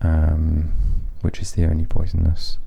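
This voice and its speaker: A man's very deep, low voice, flat and monotone at a fairly slow pace, over noticeable background noise. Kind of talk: ASMR nature walk narration. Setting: outdoors in a nature reserve. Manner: soft-spoken, whispering.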